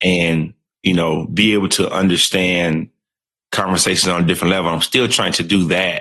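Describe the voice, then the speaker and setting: A man speaks in a monotone at a moderate pace, with a very deep, low pitch and a bright, sharp tone. His loudness stays very even, and he has a South Carolina accent. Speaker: podcast co-host. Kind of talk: casual chat.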